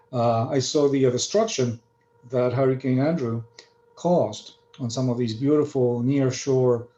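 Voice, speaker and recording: A man speaks at a moderate pace. His voice sits at a medium pitch with ordinary pitch variation. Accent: Spanish. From Argentina. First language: Spanish. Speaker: marine scientist. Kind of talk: lecture. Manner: halting, many fillers.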